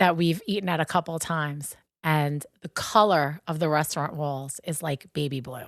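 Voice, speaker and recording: A woman's very deep, low voice in a Long Island accent at a moderate pace, on a very clean recording with a silent background and a dry, close sound with no echo. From Long Island, New York. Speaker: podcast co-host, shop co-owner. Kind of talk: casual chat. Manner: animated.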